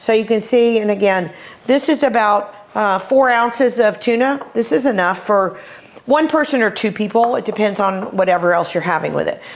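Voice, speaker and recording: A woman with a Texas accent talks at a moderate pace with a fairly high pitch and ordinary pitch variation. Noticeable background noise runs underneath. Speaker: chef. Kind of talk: cooking tutorial. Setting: kitchen. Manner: animated.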